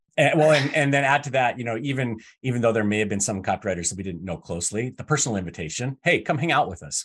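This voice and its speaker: Very fast and with hardly any pauses, the speech has lively intonation on a very clean recording with a silent background. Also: man. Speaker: copywriter and podcast co-host. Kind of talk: interview.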